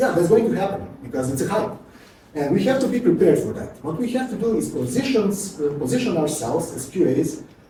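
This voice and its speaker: With a Serbian accent, a man speaks at a high pitch and a fairly quick pace, his pitch swinging very widely, amid audible room echo and noticeable background noise. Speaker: QA automation engineer, conference speaker. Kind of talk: conference talk. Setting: stage with audience. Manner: fast.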